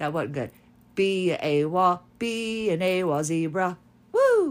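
At a fairly slow pace, the speaker uses lively intonation on a very clean recording with a silent background. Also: woman. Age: 50s. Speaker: podcast host with chronic illness, former disc jockey. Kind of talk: casual monologue. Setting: recording in bed at home. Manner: animated, frequent laughter.

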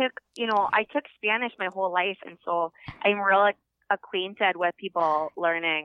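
A woman speaks in a plain, everyday voice at medium pitch. Her pace is moderate and her pitch varies in an ordinary way. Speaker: phone-in guest. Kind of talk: casual chat. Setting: phone call. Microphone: poorer phone connection.

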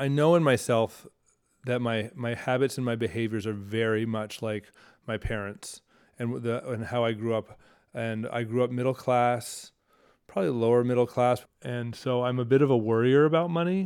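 In a plain, everyday voice, a man talks at a moderate pace and medium pitch with ordinary pitch variation, on a very clean recording with a silent background. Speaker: potter and teacher. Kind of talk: interview conversation.

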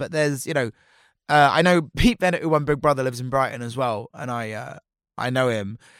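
On a very clean recording with a silent background and a dry, close sound with no echo, a man talks at a fairly quick pace with lively intonation. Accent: Portsmouth. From Portsmouth, southern England. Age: 30s. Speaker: drag performer. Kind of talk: casual chat.

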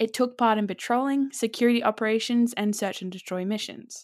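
Fairly even intonation and a fairly quick pace in a plain, everyday voice. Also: woman. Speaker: podcast co-host. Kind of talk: casual chat with scripted segments. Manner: conversational, relaxed.

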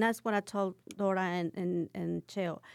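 In a Mexican accent, a woman speaks at a medium pitch and a fairly slow pace with fairly even intonation, on a very clean recording with a silent background. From Cuernavaca, Morelos, Mexico. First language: Spanish. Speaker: restaurant owner. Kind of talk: casual interview.

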